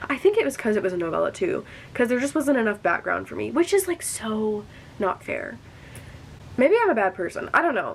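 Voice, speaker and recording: A woman with an American accent talks at a fairly quick pace in an animated tone with lively intonation. Noticeable background noise sits behind her. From US Midwest, rural area about three hours from St. Louis. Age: 19. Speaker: book vlogger. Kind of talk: casual chat. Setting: at home, sitting on the floor. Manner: fast.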